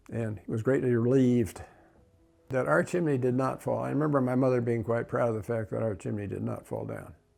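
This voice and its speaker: Music plays in the background as a man with an American accent talks at a fairly quick pace with ordinary pitch variation. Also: medium pitch for a man. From Southern California. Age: 90s. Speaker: local elder recalling his life. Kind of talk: oral history interview. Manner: frequent fillers and hesitations.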